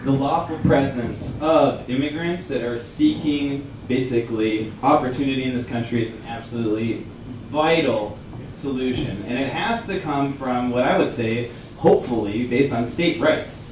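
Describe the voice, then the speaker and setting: A man with an American accent speaks at a moderate pace and medium pitch, with ordinary pitch variation, noticeable background noise and audible room echo. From New Mexico, US Southwest. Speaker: debate panelist for the protest side. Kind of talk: live debate on stage. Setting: theater stage with audience. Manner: halting, many restarts.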